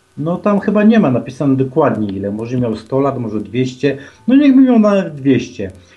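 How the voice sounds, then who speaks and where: Against noticeable background noise, a man talks at a moderate pace and medium pitch with very wide pitch swings. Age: 40s. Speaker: caller. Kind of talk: phone-in chat. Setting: phone call. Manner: halting.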